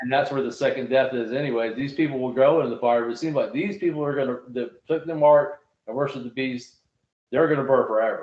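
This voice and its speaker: A man talking very fast, medium in pitch, with ordinary pitch variation. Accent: Southern US. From US South. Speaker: Bible study podcast host. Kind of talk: casual Bible discussion.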